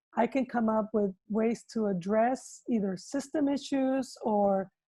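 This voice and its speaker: Speaking with a Spanish accent, a woman uses a fairly high pitch, ordinary pitch variation, and a dark, mellow tone. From Mexico. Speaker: school superintendent. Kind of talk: interview. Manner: hesitant with fillers.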